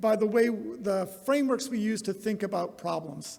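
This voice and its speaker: There is noticeable background noise behind the speaker. He is a man with a high-pitched voice. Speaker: company executive giving a conference talk. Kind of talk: conference keynote talk. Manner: casual, with many fillers and false starts.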